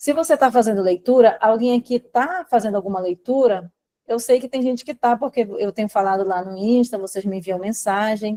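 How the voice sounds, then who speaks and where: The sound is dry and close, with no echo. A woman with a dark, mellow tone speaks at a fairly high pitch and a moderate pace, using ordinary pitch variation. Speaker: study coach. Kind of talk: live online class. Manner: animated.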